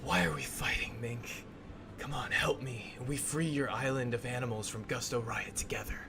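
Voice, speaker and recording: Someone whispers in a put-on character voice at a moderate pace. Loud background noise runs underneath. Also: man. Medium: actual play.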